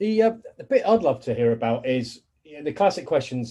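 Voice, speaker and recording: Talking at a fairly quick pace, a man with a British accent has a dark, mellow tone and ordinary pitch variation. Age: 40s. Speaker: podcast host. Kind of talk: casual interview. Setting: home office.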